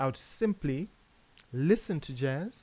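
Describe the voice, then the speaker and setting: A man's fairly high-pitched voice with a Zimbabwean accent, on a very clean recording with a silent background. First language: Shona. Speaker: jazz pianist and educator. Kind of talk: tutorial. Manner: hesitant, many fillers and repeats.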